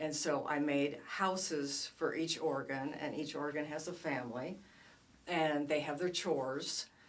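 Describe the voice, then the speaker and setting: A woman talks with a very deep, low pitch. Audible room echo and noticeable background noise surround her voice. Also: fairly even intonation, fairly slow pace. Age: 60s. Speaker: children's book author. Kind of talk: casual interview. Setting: studio.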